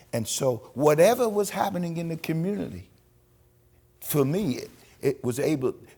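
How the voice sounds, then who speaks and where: The speaker has an American accent and a somewhat breathy voice. The pitch swings very widely. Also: man. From New York, Long Island (Manhasset). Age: 80s+. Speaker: retired pastor and civil rights activist. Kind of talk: interview testimony. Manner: halting, frequent repetitions and false starts.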